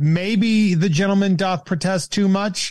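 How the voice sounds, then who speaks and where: The recording is very clean with a silent background, and the speaker has an American accent. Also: man. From Central Massachusetts. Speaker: podcaster and comedian. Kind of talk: casual chat.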